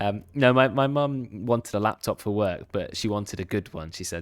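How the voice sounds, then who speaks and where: Speaking at a fairly quick pace with a British accent, a man shows ordinary pitch variation on a very clean recording with a silent background. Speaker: esports caster and streamer. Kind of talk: live game commentary with casual chat. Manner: fast.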